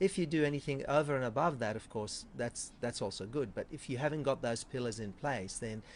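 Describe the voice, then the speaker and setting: At a moderate pace, a man with an Australian accent talks at a medium pitch with lively intonation against a quiet background. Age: 50s. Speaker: chiropractor. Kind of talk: interview.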